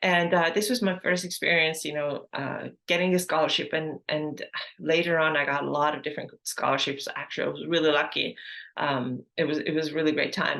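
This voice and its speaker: The voice has a bright, sharp tone and an Estonian accent. It moves at a fairly quick pace. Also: woman, very deep, low pitch for a woman, ordinary pitch variation. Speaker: health and fitness coach, podcast host. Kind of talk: personal story monologue. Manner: casual, with many fillers.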